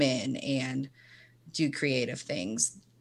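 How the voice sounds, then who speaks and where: In a Southern US accent, a woman speaks with a very deep, low pitch and ordinary pitch variation on a very clean recording with a silent background. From Tennessee (Chattanooga). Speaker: counselor. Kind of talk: casual chat.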